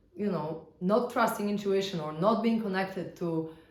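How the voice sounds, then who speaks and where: Heard with audible room echo, a woman with a Polish accent talks at a moderate pace with lively intonation. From Poland. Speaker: spiritual teacher. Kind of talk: casual teaching talk. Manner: conversational, with fillers.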